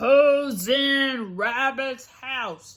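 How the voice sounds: A loud, put-on character voice sounds female. It sits at a high pitch.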